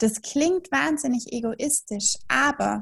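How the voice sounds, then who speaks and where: High-pitched female speech with normal pitch movement. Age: 20s. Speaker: German tutor and philosophical counselor. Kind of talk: interview.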